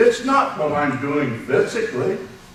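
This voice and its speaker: A man talks at a very slow pace amid noticeable background noise and audible room echo. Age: 80s+. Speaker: speech contest contestant. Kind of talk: impromptu speech.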